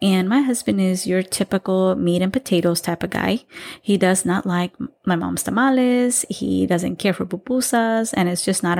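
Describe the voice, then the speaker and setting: A woman's unremarkable speaking voice at a medium pitch and moderate pace, with ordinary pitch variation, on a very clean recording with a silent background. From Texas, Salvadoran-American family. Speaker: podcast host. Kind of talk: casual solo monologue.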